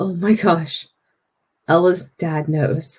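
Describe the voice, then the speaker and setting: A shaky, put-on character voice at middle pitch. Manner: whispering, shaky.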